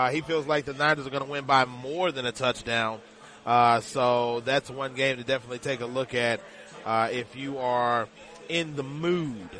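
The speaker keeps a moderate pace with fairly even intonation amid noticeable background noise. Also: man, medium pitch for a man. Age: 40s. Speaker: sports betting radio host. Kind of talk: live radio show. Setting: live broadcast from a casino sportsbook.

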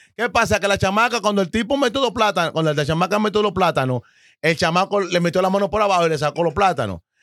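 A man with a Dominican accent talks very fast in an animated, bright and sharp tone, the sound dry and close with no echo. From Dominican Republic, Santo Domingo (Los Guaricanos). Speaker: podcast guest. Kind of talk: casual chat.

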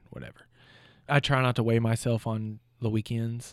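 In a very clean recording with a silent background, a man with an American accent and a plain, everyday voice talks at a fairly quick pace and a medium pitch. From Pittsburgh, Pennsylvania. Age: 30s. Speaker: mortgage loan officer sharing weight-loss story. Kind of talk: casual interview chat. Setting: studio.

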